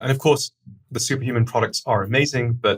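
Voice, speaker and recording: Somewhat breathy, a man speaks at a fairly quick pace with fairly even intonation. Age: 40s. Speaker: startup founder and CEO. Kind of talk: podcast interview. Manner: fast.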